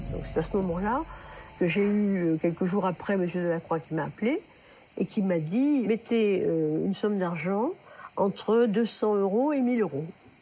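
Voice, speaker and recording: With lively intonation, a woman of medium pitch speaks at a moderate pace in a dark, mellow, somewhat breathy tone. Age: 80s+. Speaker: retired ophthalmologist, fraud victim. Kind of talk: interview testimony. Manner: halting with frequent hesitations.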